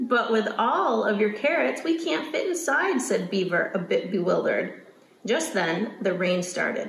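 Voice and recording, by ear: The text is read aloud. A natural voice does the reading.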